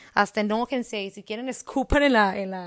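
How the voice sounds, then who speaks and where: A woman in a northern Mexican accent talks fairly quickly in an animated tone, at medium pitch with ordinary variation. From Mexico, Hermosillo (Sonora). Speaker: podcast host. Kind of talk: personal monologue.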